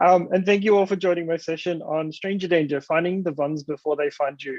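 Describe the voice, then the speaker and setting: A man with a fairly high voice speaks at a fairly quick pace in an Australian accent. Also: dry, close sound with no echo. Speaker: developer advocate, conference speaker. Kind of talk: conference talk. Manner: casual, enthusiastic.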